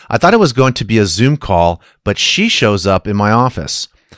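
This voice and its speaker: This is a normal speaking voice at a moderate pace. Its intonation is lively. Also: man. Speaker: listener letter reader. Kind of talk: reading aloud.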